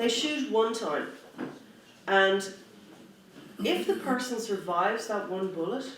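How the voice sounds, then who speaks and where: The speaker has an Irish accent and a fairly slow pace. Long pauses come often, with noticeable background noise behind. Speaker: human rights activist. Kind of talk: conference speech.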